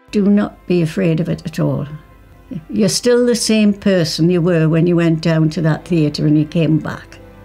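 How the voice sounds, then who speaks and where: Faint music plays in the background while a woman talks at a moderate pace in a fairly low voice with ordinary pitch variation. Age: 80s+. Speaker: ostomy patient, great-grandmother. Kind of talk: testimonial interview answer. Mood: candid, warm, reassuring. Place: home room.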